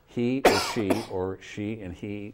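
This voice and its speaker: A man with an ordinary speaking voice, with an American accent, fairly low pitch and ordinary pitch variation. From US Midwest, Battle Creek, Michigan. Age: 60s. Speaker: political activist. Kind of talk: talk show interview.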